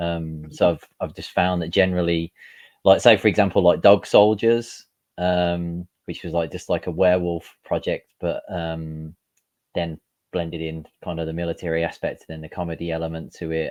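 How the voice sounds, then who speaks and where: Over a quiet background, the speaker talks at a moderate pace in a Birmingham accent with monotone, flat intonation and big swings in loudness. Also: man, very deep, low pitch for a man. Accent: Brummie. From Birmingham, England. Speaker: comic book creator. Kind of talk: interview. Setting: call. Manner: halting, many fillers.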